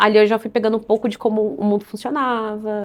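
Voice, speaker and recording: Her speech comes out very fast. This woman's voice is pitched fairly high. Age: 20s. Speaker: union assistant. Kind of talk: documentary interview.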